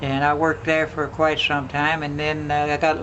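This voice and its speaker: A man with an American accent and a fairly high pitch at a moderate pace, amid noticeable background noise. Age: 80s+. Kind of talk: storytelling, family reminiscence interview.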